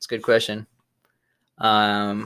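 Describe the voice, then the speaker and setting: A man speaks at a fairly slow pace in a fairly low pitch. The recording is very clean, with a silent background. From East Africa (Tanzania) and South Africa. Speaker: chemical engineering graduate. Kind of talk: casual interview.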